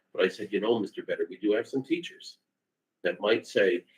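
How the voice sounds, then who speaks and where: Very fast pace, big swings in loudness, and a dry, close sound with no echo. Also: man. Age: 60s. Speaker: lawyer presenting to county board. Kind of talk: public meeting discussion. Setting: county board meeting, live streamed. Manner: animated.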